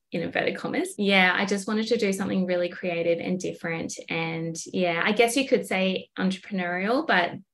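Someone with an Australian accent talks at a fairly quick pace, with ordinary pitch variation and hardly any pauses. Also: woman, medium pitch for a woman. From far north Queensland, Australia. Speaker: small business owner. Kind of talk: casual interview chat.

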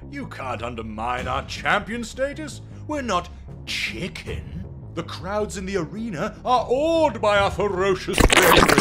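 Over clear background noise, a man does a cartoonish character voice at a moderate pace. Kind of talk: mock-heroic formal speech. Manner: pompous, theatrical.

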